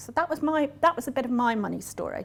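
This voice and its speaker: Someone with a Northern Irish accent speaks at a fairly quick pace. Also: woman. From Northern Ireland. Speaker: business coach. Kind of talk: talk to a live audience.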